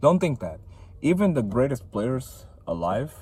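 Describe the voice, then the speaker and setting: Using vocal fry and a dark, mellow tone, a man speaks at a moderate pace with very wide pitch swings. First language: not English. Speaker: vlogger. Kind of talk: casual motivational vlog. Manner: casual, filler-heavy.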